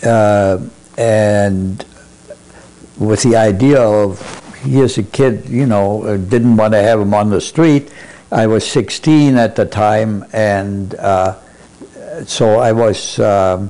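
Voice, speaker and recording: A man's fairly low voice with a German accent, very slow, with long, frequent pauses, ordinary pitch movement and very even loudness. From Germany, Berlin. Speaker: Holocaust survivor. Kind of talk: oral history interview. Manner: halting, many fillers.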